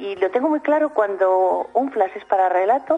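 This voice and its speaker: Over noticeable background noise, a woman speaks at a moderate pace in a fairly high pitch, with very wide pitch swings. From Spain, Soria. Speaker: writer. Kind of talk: radio interview. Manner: halting.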